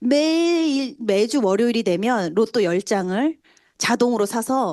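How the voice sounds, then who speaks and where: A dark, mellow tone moves through very wide pitch swings against a quiet background. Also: woman. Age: 40s. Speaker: network marketing speaker. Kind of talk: motivational testimony talk.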